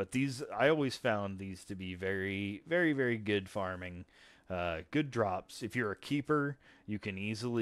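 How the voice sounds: It is a natural reading voice. The intonation is lively.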